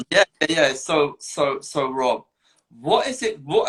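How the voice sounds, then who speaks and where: Speaking very slowly, a man talks with a London accent. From north London, England. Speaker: guest sharing mental health story. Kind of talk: casual chat.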